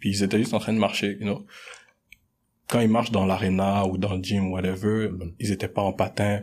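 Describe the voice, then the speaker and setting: A man, fairly low-pitched and fairly quick, in a very clean recording with a silent background. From Montreal (Anjou, Rivière-des-Prairies), Congolese-born. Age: 20s. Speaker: business student. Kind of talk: casual debate.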